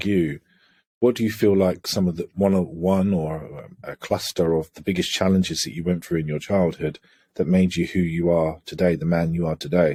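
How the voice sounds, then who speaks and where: Speaking at a moderate pace in an English accent, a man with a very deep, low pitch and a dark, mellow tone keeps his intonation fairly even on a very clean recording with a silent background. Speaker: holistic coach. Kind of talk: podcast interview conversation.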